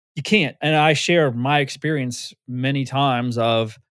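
The man has an unremarkable speaking voice at medium pitch with ordinary pitch variation, on a very clean recording with a silent background. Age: 50s. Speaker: fitness community founder. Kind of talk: casual interview.

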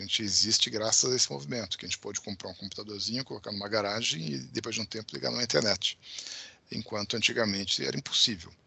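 A man's lively intonation carries his very fast speech. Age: 50s. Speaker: tech company founder and CEO. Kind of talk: interview.

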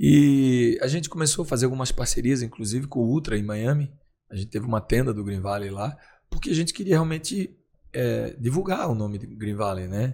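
A man speaks at medium pitch with a dark, mellow tone and lively intonation. His pace is fairly quick, on a very clean recording with a silent background. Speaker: nightclub founder and entrepreneur. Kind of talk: interview.

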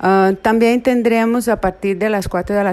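With a Portuguese accent, a woman speaks at a fairly slow pace in a dark, mellow tone and fairly even intonation. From Brazil. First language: Portuguese (speaking Spanish). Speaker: psychology professor. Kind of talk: interview. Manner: halting.

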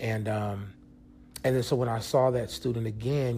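A man talks at a fairly quick pace at a medium pitch. His voice is somewhat breathy. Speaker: podcast host. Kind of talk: casual solo podcast monologue. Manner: casual, conversational, filler-heavy.

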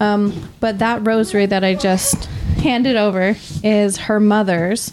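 A woman's fairly slow, monotone speech with flat intonation and very even loudness, over noticeable background noise. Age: young. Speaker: modern pagan practitioner in alcohol recovery. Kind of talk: casual chat.

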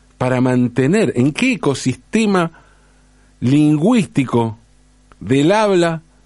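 Using a Rioplatense accent, a man talks at a fairly high pitch with very wide pitch swings. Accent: Argentine Rioplatense Spanish. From Argentina. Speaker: commentator on language and football. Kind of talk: monologue essay.

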